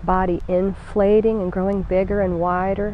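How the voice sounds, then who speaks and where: At a fairly slow pace, a warm, soothing voice speaks in a flat monotone, the sound dry with no echo over light background noise. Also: woman. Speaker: yoga instructor. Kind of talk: guided meditation; guided chair yoga class. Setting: home video, instructor demonstrating from a chair. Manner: slow, soothing and calm, with gentle pauses; warm, encouraging and reassuring. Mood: calm, soothing. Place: garden.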